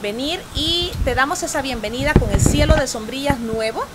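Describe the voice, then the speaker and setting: Through noticeable background noise, a woman talks at a fairly slow pace. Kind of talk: promotional interview talk. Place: shop.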